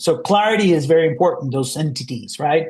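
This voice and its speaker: This man has a non-native accent and a high pitch for a man. He talks at a moderate pace with lively intonation. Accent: foreign. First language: not English. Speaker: marketing agency founder giving a webinar. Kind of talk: webinar presentation. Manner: halting, many fillers.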